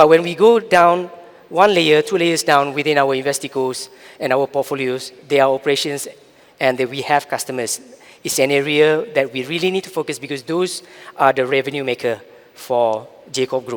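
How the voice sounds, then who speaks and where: At a moderate pace, this man uses a normal speaking voice, pitched fairly high with ordinary variation. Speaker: corporate digital strategy executive. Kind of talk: conference keynote. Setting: stage with audience.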